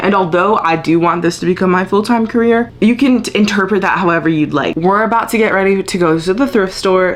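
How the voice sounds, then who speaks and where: Noticeable background noise runs through this clip. Over it, a woman speaks with a medium pitch. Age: 20s. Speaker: lifestyle vlogger. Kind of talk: casual talk to camera.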